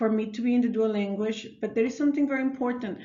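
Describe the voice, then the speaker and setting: A high-pitched woman speaks with audible room echo around her. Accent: Mexican. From northern Mexico, Ciudad Juarez. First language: Spanish. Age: 30s. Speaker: elementary school teacher. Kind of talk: self-narrated class reflection. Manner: hesitant, many fillers and restarts.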